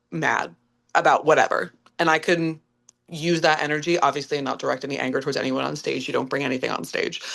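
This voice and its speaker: A woman with an American accent speaks at a very deep, low pitch with vocal fry, fairly quickly, in an animated tone. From upstate New York, Clifton Park. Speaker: musical theatre actress. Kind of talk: podcast interview.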